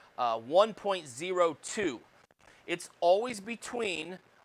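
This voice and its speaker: A man speaks loudly at a very slow pace, his pitch swinging very widely. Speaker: college electronics instructor. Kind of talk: lecture. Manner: hesitant, many fillers.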